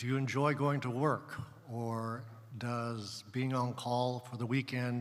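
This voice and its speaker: A man's medium-pitched, flat monotone at a very slow pace, with audible room echo. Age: 60s. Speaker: pediatric surgeon, panelist. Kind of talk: panel talk at a conference. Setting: stage with audience.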